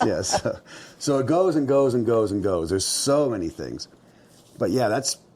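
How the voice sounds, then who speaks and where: A man's medium-pitched voice with vocal fry and a dark, mellow tone, at a moderate pace with very wide pitch swings. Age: 60s. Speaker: mountain man and outfitter. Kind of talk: casual interview storytelling. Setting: indoors at his mountain cabin, fireplace going. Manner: conversational with many fillers and restarts.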